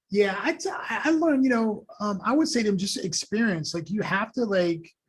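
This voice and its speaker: A man with a New York accent, at a moderate pace. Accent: New York American. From New York, Long Island, Haitian family. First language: Haitian Creole and French. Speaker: school superintendent. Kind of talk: podcast interview.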